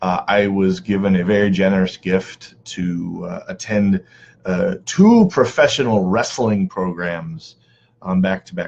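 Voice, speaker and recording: A man speaks quietly at a fairly slow pace. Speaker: community organizer and live stream host. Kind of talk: live stream talk to viewers. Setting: online live video broadcast. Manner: quiet, holding back volume; casual, many filler words.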